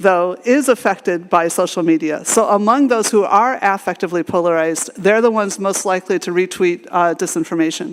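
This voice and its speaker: A woman talks fairly quickly and hardly pauses, with noticeable background noise behind her. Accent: American. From United States. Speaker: AI researcher and conference speaker. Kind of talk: conference talk. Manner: halting, many fillers and restarts.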